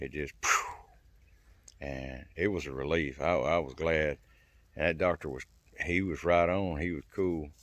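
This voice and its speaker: Speaking with vocal fry, a man with a very deep, low pitch keeps his intonation fairly even at a fairly slow pace with long, frequent pauses on a very clean recording with a silent background. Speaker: survival and self-help channel host. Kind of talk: casual personal testimony to camera. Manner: halting, hesitates and stammers for words.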